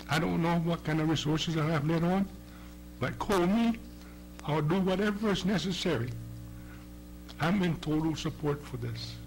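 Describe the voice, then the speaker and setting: Over music in the background, a man speaks at a moderate pace and fairly high pitch with ordinary pitch variation, long, frequent pauses and audible room echo. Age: 60s. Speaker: testifying cancer patient. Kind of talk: public hearing testimony. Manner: halting.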